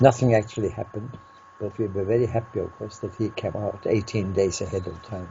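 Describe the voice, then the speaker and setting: Noticeable background noise sits behind this recording. The man speaking has a fairly low pitch. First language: Norwegian. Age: 80s+. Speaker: peace researcher. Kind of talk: interview answer.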